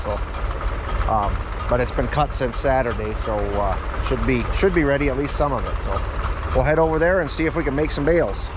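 A man, with dry sound, no echo and noticeable background noise. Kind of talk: casual vlog chat. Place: farm machine. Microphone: phone near.

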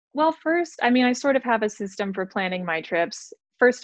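Against a quiet background, a woman's voice comes through dry, with no echo. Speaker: guest. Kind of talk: interview answer. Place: home room. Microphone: video call.

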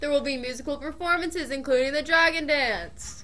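A woman's raised, projected voice at a fairly quick pace. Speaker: student news anchor. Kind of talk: school announcements. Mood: friendly, upbeat. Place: studio. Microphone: studio mic.

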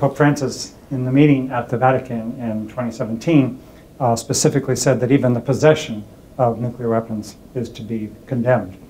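Over light background noise, a man with a dark, mellow tone speaks fairly quickly with fairly even intonation. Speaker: peace studies academic. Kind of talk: interview answer. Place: home room. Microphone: lapel.

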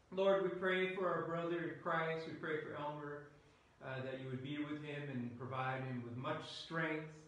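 Ordinary pitch variation comes through strong room echo and light background noise. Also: man. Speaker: pastor. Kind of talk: spoken prayer within a sermon. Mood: solemn, gentle. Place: church. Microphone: camera far.

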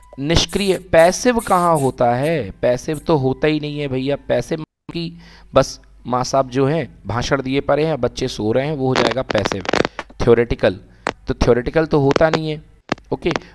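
A man speaks in a normal speaking voice at a fairly high pitch. His pitch variation is ordinary. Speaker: teacher. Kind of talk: online class lecture.

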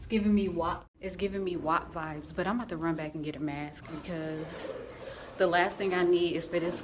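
A woman speaks at a fairly quick pace with noticeable background noise. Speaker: vlogger. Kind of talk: casual vlog chat. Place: hall. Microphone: phone near.

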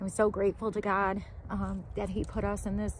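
A woman speaks in a dry recording with no echo and light background noise. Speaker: homesteading vlogger. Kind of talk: casual vlog chat. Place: street.

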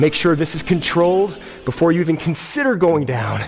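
A man talks at a fairly slow pace. Clear music plays in the background. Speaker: fitness trainer. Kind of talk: workout instruction. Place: gym.

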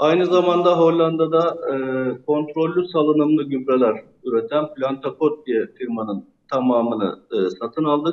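The man's pitch moves in an ordinary way. He talks fairly slowly. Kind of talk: interview answer. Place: office. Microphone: video call.

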